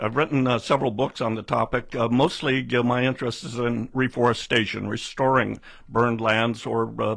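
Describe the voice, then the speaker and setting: A man with a Pacific Northwest accent talks at a fairly quick pace in a monotone with flat intonation, with hardly any pauses. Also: medium pitch for a man. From Oregon, US Pacific Northwest. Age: 70s. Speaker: political candidate and forester. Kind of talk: radio interview. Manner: halting, many fillers.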